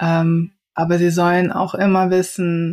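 On a very clean recording with a silent background, a woman speaks at a medium pitch with a slight Rhineland accent. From Rhineland, Germany. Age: 40s. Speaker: diversity and inclusion consultant. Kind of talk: interview conversation.

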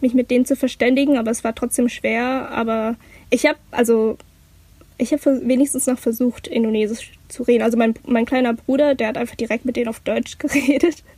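A woman talks at a fairly quick pace in a high, dark, mellow voice with flat, monotone intonation. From Hamburg, Germany. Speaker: university student. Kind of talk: casual chat.

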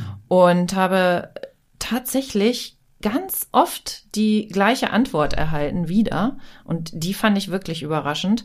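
On a very clean recording with a silent background, a woman speaks very slowly at medium pitch with lively intonation. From Germany, Hanover. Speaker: podcast host. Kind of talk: casual chat. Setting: studio.

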